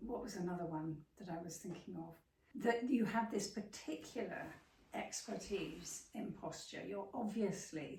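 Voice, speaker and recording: A woman at medium pitch with ordinary pitch variation, a fairly slow pace, big swings in loudness and audible room echo. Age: 70s. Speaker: interviewer, writer and yoga student. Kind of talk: interview.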